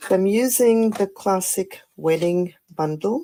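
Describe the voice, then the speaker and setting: Speaking at a very slow pace, a woman has a dark, mellow tone and ordinary pitch variation. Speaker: papercraft demonstrator. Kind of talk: live stream craft tutorial. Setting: live stream. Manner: casual with fillers and hesitations.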